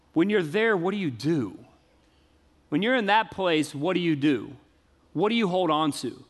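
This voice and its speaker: This man speaks at a moderate pace with an American accent and a high pitch, leaving long, frequent pauses. His intonation is lively, and audible room echo fills the recording. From US South. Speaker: pastor. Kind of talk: sermon. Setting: church.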